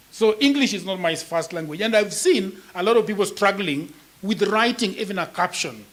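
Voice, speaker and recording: With a Kenyan accent, a man speaks at a moderate pace and a high pitch. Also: ordinary pitch variation. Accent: Kenyan (Luo) English. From Kenya, Nyakach (Luo area). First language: Luo. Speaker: writer and content creator. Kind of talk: panel discussion.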